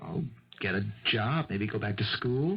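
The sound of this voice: A man in a put-on character voice, fairly low in pitch, with lively intonation, a slightly husky edge and a fairly slow pace.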